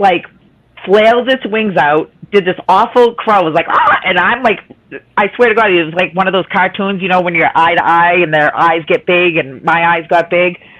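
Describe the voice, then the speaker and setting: A woman talks in a Boston accent with an animated tone. Her medium pitch has ordinary variation, and her pace is moderate. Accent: Boston, dropped r's. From Boston area, Massachusetts (North Shore near Salem). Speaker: live stream chat participant. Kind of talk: casual chat, storytelling.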